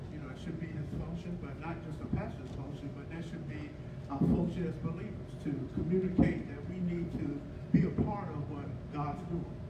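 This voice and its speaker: A man speaks over loud background noise. The room echo is audible. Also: moderate pace. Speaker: pastor. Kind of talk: church announcements, casual. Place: church.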